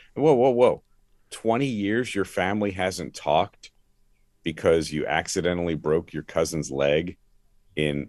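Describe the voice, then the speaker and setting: With an American accent, a man speaks at a moderate pace in a very deep, low voice with lively intonation. The sound is dry and close with no echo, and the background is quiet. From Philadelphia area, US. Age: 60s. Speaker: former sports radio host, now pastor. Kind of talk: testimony.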